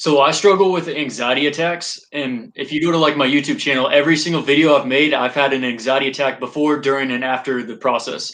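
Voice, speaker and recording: A man with an American accent, fairly high in pitch, at a very fast pace with hardly any pauses and fairly even intonation. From Texas, Dallas area. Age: 20s. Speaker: army veteran and YouTuber. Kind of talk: casual interview chat.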